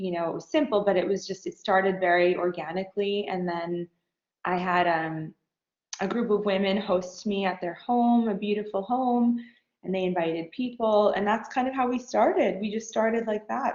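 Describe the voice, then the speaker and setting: This is a normal speaking voice with an American accent. It has ordinary pitch variation at a moderate pace. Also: woman. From New York. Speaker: fashion designer. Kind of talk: interview.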